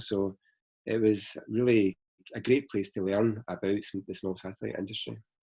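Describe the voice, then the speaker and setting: On a very clean recording with a silent background, a man with a Glaswegian accent talks at a moderate pace in a fairly low, monotone, flat voice. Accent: Glaswegian Scottish. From Scotland, Glasgow. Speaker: space company founder. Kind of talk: interview.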